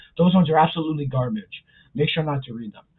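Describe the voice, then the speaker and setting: There's a dark, mellow tone to this man's fairly high voice, which shows ordinary pitch variation. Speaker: YouTube pop culture commentator. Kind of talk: casual vlog commentary. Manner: fast; casual, filler-heavy.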